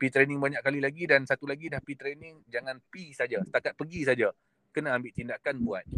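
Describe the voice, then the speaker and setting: A man with a fairly high pitch and a bright, sharp tone speaks at a very fast pace, his intonation fairly even. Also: dry, close sound with no echo. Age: 40s. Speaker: gold dealer. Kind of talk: interview.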